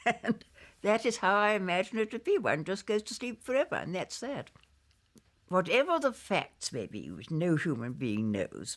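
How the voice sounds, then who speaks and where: A woman with vocal fry speaks at a fairly slow pace, her pitch swinging very widely, in a very clean recording with a silent background. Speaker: memoirist and former publisher. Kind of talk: interview answer.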